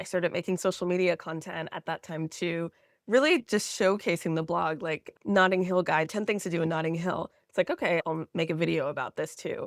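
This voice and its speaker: A woman with an American accent and a normal speaking voice talks at a fairly quick pace in a fairly low pitch. The recording is very clean with a silent background, and the sound is dry and close with no echo. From Florida, US. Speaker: travel content creator. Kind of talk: podcast interview.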